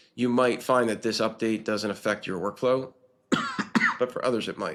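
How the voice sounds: A man puts on a raspy character voice at a medium pitch. He talks at a moderate pace in a flat monotone.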